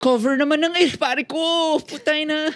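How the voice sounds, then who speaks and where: Putting on a whiny character voice, a man speaks at an extremely high pitch and a moderate pace. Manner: pained, whining.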